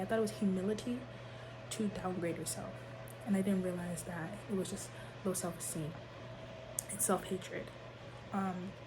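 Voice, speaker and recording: Soft-spoken, a woman at medium pitch talks at a moderate pace with ordinary pitch variation, amid audible room echo and noticeable background noise. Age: young. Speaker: vlogger. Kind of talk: personal testimony. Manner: halting.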